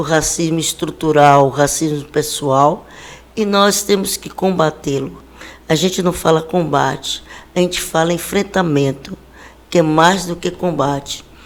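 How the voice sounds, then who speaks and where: A woman's very deep, low voice, fairly slow and fairly even in intonation. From Brazil, Bahia (Salvador). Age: 60s. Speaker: city government official and educator. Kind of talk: interview. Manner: formal.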